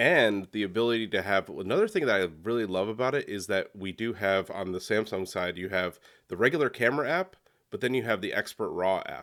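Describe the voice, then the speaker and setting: Speaking at a fairly quick pace, a man has an unremarkable speaking voice, fairly low in pitch with ordinary pitch variation. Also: very clean recording, silent background. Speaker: photography educator guest. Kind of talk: casual interview conversation. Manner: conversational, repeats words.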